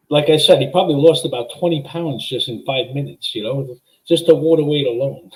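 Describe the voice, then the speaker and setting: Somewhat breathy, fairly high-pitched man at a fairly quick pace, fairly even intonation and big swings in loudness. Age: 60s. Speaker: caller. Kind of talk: call-in chat. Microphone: laptop.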